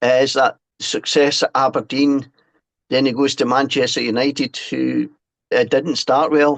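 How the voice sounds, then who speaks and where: Here a man with a Scottish accent speaks at a moderate pace and a fairly high pitch. His intonation is monotone and flat, and his loudness is very even. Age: 60s. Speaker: author and former fanzine writer. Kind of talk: podcast interview. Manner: halting, with repeated false starts.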